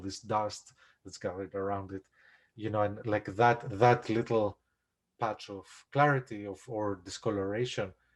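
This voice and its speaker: A man with a Greek accent speaks at a moderate pace in a fairly low voice. His intonation is monotone and flat against a quiet background. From Greece. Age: 40s. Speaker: composer. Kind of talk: casual chat. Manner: halting.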